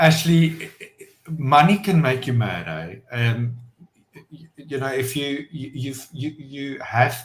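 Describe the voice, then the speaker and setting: This man talks at a very slow pace. His pitch is medium, with ordinary variation. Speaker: entrepreneur and business owner. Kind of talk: podcast interview. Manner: loud; halting, many fillers.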